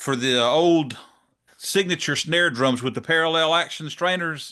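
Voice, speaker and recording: In a Southern US accent, a man speaks fairly slowly at a fairly high pitch with a bright, sharp tone, very even loudness and ordinary pitch variation, over a quiet background. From US South, South Georgia; Georgia. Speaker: drum channel interviewer; podcast interviewer. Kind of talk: interview; interview questions. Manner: casual, hesitant with fillers. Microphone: studio mic.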